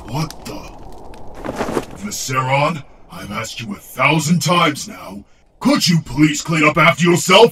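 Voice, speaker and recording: Using a put-on character voice at a fairly high pitch, a man speaks at a moderate pace with long, frequent pauses. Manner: exasperated.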